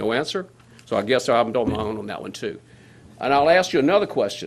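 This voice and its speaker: In a South Louisiana accent, a man talks at a very fast pace with lively intonation and big swings in loudness. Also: medium pitch for a man. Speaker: resident speaking at public hearing. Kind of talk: public comment at government meeting.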